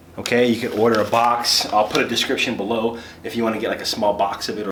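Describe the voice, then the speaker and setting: Talking at a fairly quick pace, a man speaks with a medium pitch. Noticeable background noise and audible room echo are present. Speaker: handyman. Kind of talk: tutorial. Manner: fast.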